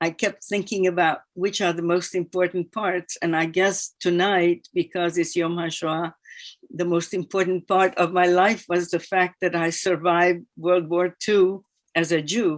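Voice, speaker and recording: A woman at a fairly low pitch and fairly slow pace, monotone and flat, in a dry, close sound with no echo on a very clean recording with a silent background. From Hungary, Budapest. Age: 80s+. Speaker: Holocaust survivor. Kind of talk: testimony.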